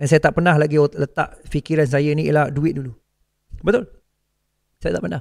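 Against a quiet background, a man speaks at a moderate pace with long, frequent pauses, a fairly high pitch with ordinary variation, and a dry sound with no echo. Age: 40s. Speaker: forex trading coach. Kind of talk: motivational talk. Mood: earnest, heartfelt. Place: studio. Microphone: studio mic.

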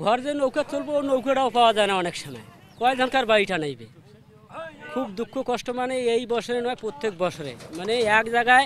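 With lively intonation and an extremely high pitch, a man speaks in a dry recording with no echo and light background noise. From northern Bangladesh. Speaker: river erosion victim. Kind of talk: interview testimony. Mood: distressed, lamenting hardship. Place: waterside.

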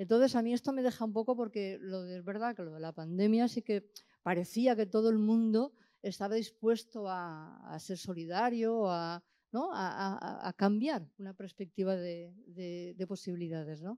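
Her voice, medium in pitch with a dark, mellow tone, moves at a moderate pace with ordinary pitch variation and big swings in loudness. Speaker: audience member. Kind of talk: question from audience. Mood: reflective, engaged. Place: hall. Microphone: handheld.

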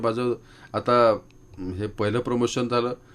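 This man has an unremarkable speaking voice. His pitch is medium. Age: 50s. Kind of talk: interview. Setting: radio studio.

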